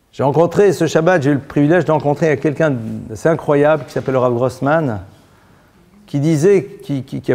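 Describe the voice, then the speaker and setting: This man has a dark, mellow tone and a fairly high pitch. He speaks at a moderate pace with ordinary pitch variation. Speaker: rabbi teaching a Torah class. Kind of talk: religious lecture. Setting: synagogue. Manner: blunt, informal.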